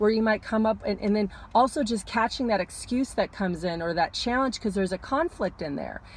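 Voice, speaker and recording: A somewhat breathy woman at a medium pitch and fairly quick pace. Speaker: astrologer. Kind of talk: casual talk to camera, weekly astrology forecast. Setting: parked car.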